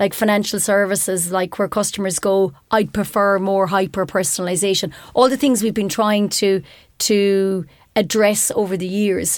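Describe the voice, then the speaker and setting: With an Irish accent, a woman talks at a moderate pace and medium pitch with fairly even intonation, on a very clean recording with a silent background. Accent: Irish (Clare). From Ireland, Ennis, County Clare. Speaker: technology executive. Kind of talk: interview. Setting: studio.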